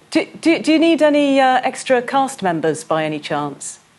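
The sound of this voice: A woman's high voice with big pitch swings at a moderate pace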